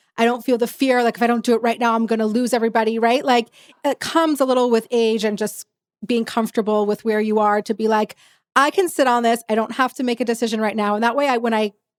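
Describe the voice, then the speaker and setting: In a dry, close recording without echo, a woman talks very fast at a fairly high pitch, keeping her loudness very even and her intonation fairly even. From Texas. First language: Yiddish. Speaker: podcast host. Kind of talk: podcast interview.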